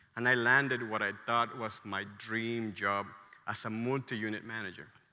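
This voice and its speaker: With a bright, sharp tone and a Mexican accent, a man speaks in monotone, flat intonation amid audible room echo. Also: medium pitch for a man, moderate pace. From Mexico, State of Mexico. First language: Spanish. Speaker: restaurant entrepreneur, conference speaker. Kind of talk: conference talk. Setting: stage with audience.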